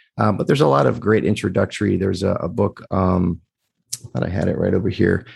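A man talks very fast with lively intonation and a very deep, low pitch. His loudness stays very even, with vocal fry throughout. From US, child of Greek immigrants. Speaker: podcaster. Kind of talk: casual interview. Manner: hesitant, many fillers.

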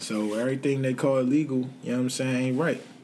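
A man with an American accent has a normal speaking voice at medium pitch. He talks at a fairly quick pace. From Washington DC, Southeast. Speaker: entrepreneur and former street hustler. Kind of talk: casual interview chat.

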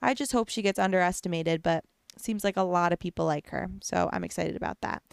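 Speaking at a fairly quick pace with an animated tone and ordinary pitch variation, a woman comes through on a very clean recording with a silent background and a dry, close sound with no echo. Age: 20s. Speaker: podcast host and Twitch streamer. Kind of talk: casual solo chat. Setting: home recording with video camera. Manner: animated, rambling with fillers.

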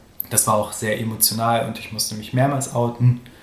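Audible room echo surrounds a man with a medium pitch. He talks at a moderate pace in a monotone, flat intonation. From Germany, Göttingen area. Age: 20s. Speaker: interview guest. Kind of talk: personal interview. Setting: studio, in person.

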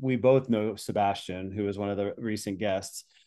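Ordinary pitch variation in a normal speaking voice. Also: man. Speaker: podcast host. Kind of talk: casual podcast conversation.

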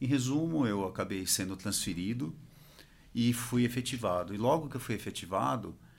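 Here a man has an ordinary speaking voice at medium pitch. His pace is moderate. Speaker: industry association executive. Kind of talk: interview.

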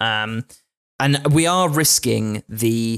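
A man with a southern English accent speaks at a medium pitch with ordinary pitch variation, the sound dry and close with no echo on a very clean recording with a silent background. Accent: English, southern England. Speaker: podcast host. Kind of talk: casual chat podcast discussion about D&D.

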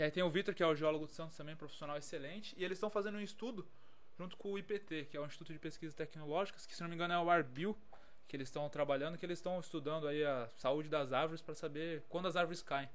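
A man's fairly high voice at a very fast clip, ordinary pitch variation, with noticeable background noise. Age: 20s. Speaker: civil defense geologist. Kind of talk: casual chat.

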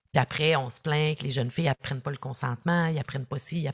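Somewhat breathy, the voice has a Quebec accent and ordinary pitch variation. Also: woman, dry, close sound with no echo. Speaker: social work professor and former youth in care. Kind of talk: podcast interview.

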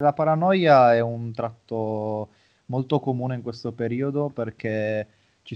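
A man talks at a fairly slow pace at medium pitch. He has an ordinary speaking voice. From Italy. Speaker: psychologist and sports mental coach. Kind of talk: interview.

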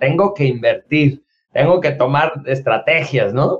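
A man talks with a Mexican accent. His pace is moderate. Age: 40s. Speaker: podcast co-host, instructor and author. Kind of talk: casual chat.

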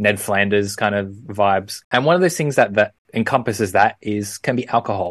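Against a quiet background, a man with an Australian accent speaks at a fairly low pitch and a moderate pace. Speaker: podcast co-host. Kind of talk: casual chat.

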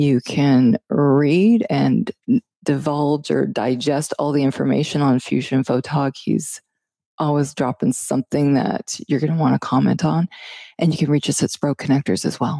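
A woman speaks at a moderate pace with a very deep, low pitch, a dark, mellow tone and ordinary pitch variation. Her loudness stays very even in a very clean, dry, close recording with a silent background and no echo. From Canada. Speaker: podcast co-host. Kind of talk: casual interview. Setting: studio.

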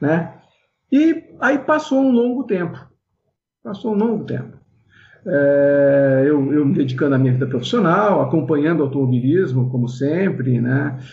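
A man speaks at a fairly slow pace with a fairly high pitch. His voice is somewhat breathy, with lively intonation. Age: 60s. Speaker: former kart racer and event organizer. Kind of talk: interview. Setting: video call. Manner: halting.

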